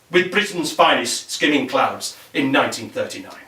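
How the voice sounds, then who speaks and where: A man's voice comes through with noticeable background noise behind it. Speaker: poet. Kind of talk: poetry reading.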